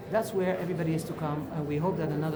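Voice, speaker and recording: Amid noticeable background noise and audible room echo, a woman speaks with a Belgian accent in a fairly low pitch. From Belgium. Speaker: activist, movement co-founder. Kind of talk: interview. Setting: at a conference. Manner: animated.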